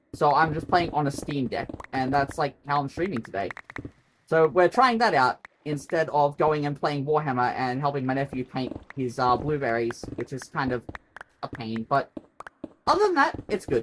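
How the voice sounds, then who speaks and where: A moderate pace with an Australian accent. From Australia, Queensland. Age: 30s. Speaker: streamer. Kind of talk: live gaming stream chat. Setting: bedroom home stream. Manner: rambling, chatty.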